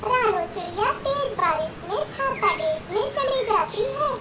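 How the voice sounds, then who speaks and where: A squeaky, put-on character voice at an extremely high pitch and a very slow pace, with noticeable background noise. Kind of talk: children's cartoon narration. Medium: cartoon. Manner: clear, expressive.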